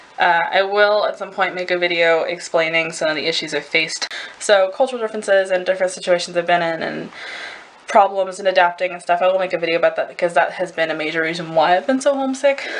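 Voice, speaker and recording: A woman talks at a very fast pace, medium in pitch with ordinary variation. Background noise is noticeable. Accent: American. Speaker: au pair vlogger. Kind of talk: casual vlog. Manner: rambling, hesitant.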